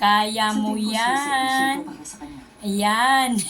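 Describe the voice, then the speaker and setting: Music plays in the background as a woman speaks. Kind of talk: casual vlog narration to camera.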